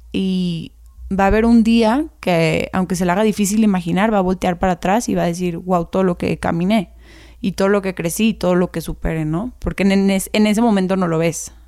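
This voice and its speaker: A speaker with a Mexican accent talks at a fairly quick pace in a dark, mellow tone. The intonation is fairly even, and the recording is very clean with a silent background. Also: woman, medium pitch for a woman. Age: 20s. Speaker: teacher. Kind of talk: interview.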